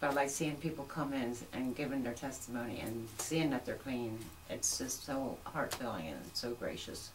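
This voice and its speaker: A woman with an American accent speaks at a moderate pace in a very deep, low pitch with ordinary pitch variation. The recording has audible room echo and noticeable background noise. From York, Pennsylvania, US. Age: 60s. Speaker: recovering addict, church member. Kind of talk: testimony.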